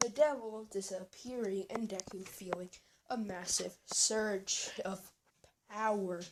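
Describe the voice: What we hear is plain reading aloud.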